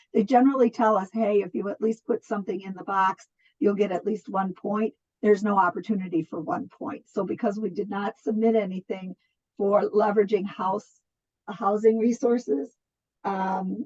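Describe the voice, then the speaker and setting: A plain, everyday voice moves at a moderate pace with ordinary pitch variation and big swings in loudness, recorded dry and close with no echo. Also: woman, medium pitch for a woman. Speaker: nonprofit program coordinator. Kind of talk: online funding presentation.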